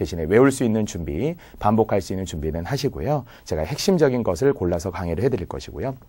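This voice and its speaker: A man's dark, mellow, fairly low-pitched voice at a very fast pace with very wide pitch swings and hardly any pauses, on a very clean recording with a silent background. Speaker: civil service exam Korean lecturer. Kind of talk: lecture. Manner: clear articulation.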